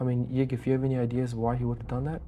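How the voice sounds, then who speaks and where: A man speaks in a whisper. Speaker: game commentator. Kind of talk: live commentary. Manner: whispering.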